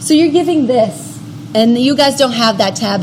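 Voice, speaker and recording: Lively intonation carries the speech at a moderate pace, with noticeable background noise. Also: woman. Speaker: workshop instructor. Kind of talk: tutorial. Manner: casual, filler-heavy.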